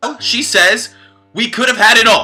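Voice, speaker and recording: A man with a New York accent speaks in a raised, projected voice. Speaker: political commentary video creator. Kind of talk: scripted commentary.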